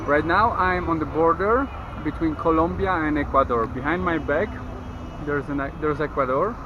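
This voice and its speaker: Amid noticeable background noise and audible room echo, a man with a Polish accent speaks at a moderate pace and fairly high pitch with lively intonation. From Poland, Kraków. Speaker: travel vlogger. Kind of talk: travel vlog.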